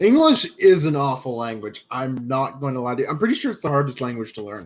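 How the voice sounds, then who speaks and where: A man's medium-pitched voice with a Canadian accent, very fast pace and lively intonation. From Canada. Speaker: esports commentator. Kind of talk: live commentary.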